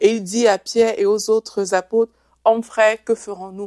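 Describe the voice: With a dry, close sound and no echo, a woman speaks in a slightly mellow tone with fairly even intonation.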